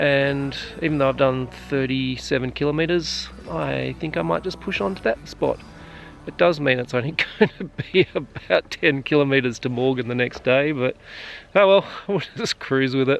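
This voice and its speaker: This man has an Australian accent, a medium pitch and lively intonation. He talks at a moderate pace over noticeable background noise. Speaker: adventure vlogger. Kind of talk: casual vlog narration. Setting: outdoors. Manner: soft-spoken.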